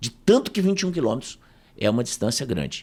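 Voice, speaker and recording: A man's pitch swings very widely, with vocal fry. The recording is very clean and the background silent. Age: 60s. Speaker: professor and speaker. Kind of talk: casual interview storytelling.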